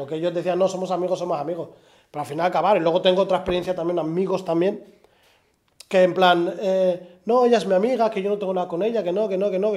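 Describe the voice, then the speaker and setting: A man's high-pitched voice with ordinary pitch variation, against a quiet background. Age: 30s. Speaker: podcast host. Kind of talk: interview conversation. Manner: halting. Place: studio.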